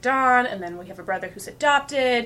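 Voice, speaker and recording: With a Canadian accent, a woman talks at a fairly quick pace in a fairly high pitch, her tone bright and sharp and her intonation lively. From Edmonton, Alberta, Canada. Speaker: actor and writer. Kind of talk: casual chat.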